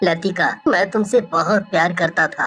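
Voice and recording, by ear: A female-sounding, put-on character voice speaks at a middle pitch and a moderate pace. Faint music plays in the background.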